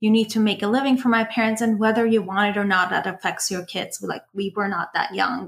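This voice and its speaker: A woman speaks at a very fast pace with hardly any pauses, her fairly high voice somewhat breathy and her intonation fairly even. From Los Angeles area, California (moved from Iran at 13). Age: 20s. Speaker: education professional. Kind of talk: casual interview.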